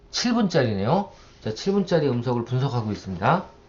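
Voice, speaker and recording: Somewhat breathy, this man's medium-pitched voice moves through very wide pitch swings. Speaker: university lecturer. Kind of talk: software tutorial lecture. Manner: conversational, rhetorical questions.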